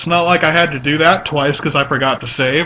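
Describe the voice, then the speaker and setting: A man with a plain, everyday voice, fairly high pitched, at a moderate pace with fairly even intonation. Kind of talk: casual let's play commentary.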